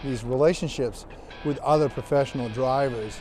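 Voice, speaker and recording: At a moderate pace and with fairly even intonation, a man speaks in a dry recording with no echo and faint music behind him. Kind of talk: interview answer. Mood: proud, relaxed. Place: street.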